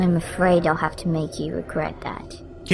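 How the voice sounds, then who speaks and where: A put-on character voice moves at a moderate pace over clearly audible background noise. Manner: deadly, menacing.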